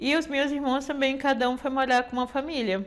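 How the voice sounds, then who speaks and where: A woman's voice on a very clean recording against a silent background. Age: 60s. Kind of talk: testimony. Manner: halting, many fillers.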